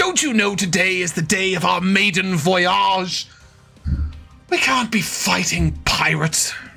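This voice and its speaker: Faint music plays behind a man doing a put-on character voice. He speaks high in pitch at a fairly slow pace. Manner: polite, gently scolding.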